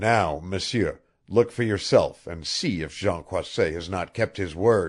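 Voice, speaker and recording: In a put-on character voice, a man sounds raspy at a fairly low pitch. He goes at a fairly slow pace with big swings in loudness. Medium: read story. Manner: taunting.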